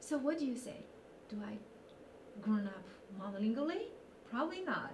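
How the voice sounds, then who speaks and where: A woman with a Chinese accent talks at a fairly quick pace and a fairly high pitch, swinging very widely in pitch. Audible room echo and noticeable background noise surround her. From northeast China. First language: Mandarin Chinese. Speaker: university instructor. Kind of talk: interview. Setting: video recording.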